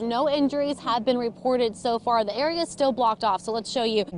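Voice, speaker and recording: A woman with an American accent and a plain, everyday voice, fairly high in pitch with ordinary pitch variation, at a fairly quick pace. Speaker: TV news anchor and reporter. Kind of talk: TV news anchor and field reporter delivery.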